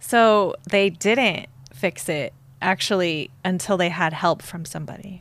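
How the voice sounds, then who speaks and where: A woman's ordinary speaking voice, medium in pitch with ordinary pitch variation, at a fairly slow pace. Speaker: guest host interviewer. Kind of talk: ring announcer intro, playful. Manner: warm, teasing.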